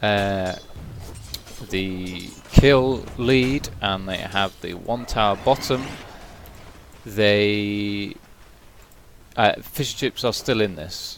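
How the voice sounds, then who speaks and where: A man's fairly low voice in a British accent, very slow, with long, frequent pauses and big swings in loudness. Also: ordinary pitch variation. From Britain. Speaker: esports caster. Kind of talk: live commentary.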